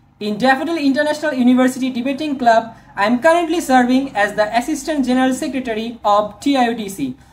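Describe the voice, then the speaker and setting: Through noticeable background noise, a woman with a Bangladeshi accent talks at a very fast pace with high pitch. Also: ordinary pitch variation, hardly any pauses. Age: 20s. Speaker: software engineering student. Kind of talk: video resume talk to camera.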